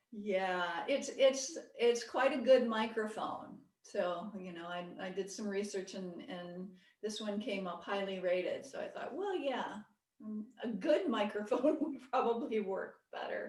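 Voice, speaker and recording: A woman talks at a fairly slow pace with lively intonation and a fairly high pitch. Audible room echo surrounds her voice. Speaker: Buddhist meditation teacher. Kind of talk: lecture; casual chat. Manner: soft-spoken; halting.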